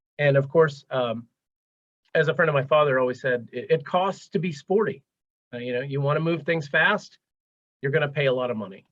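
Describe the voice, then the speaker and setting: At a fairly quick pace but with long, frequent pauses, a man speaks at a fairly high pitch. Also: ordinary pitch variation. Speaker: transportation program manager, webinar presenter. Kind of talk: webinar presentation. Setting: live webinar, video call. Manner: fast.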